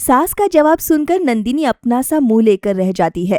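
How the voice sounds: On a very clean recording with a silent background and a dry, close sound with no echo, a woman speaks at a moderate pace in a fairly high, slightly mellow voice with big pitch swings.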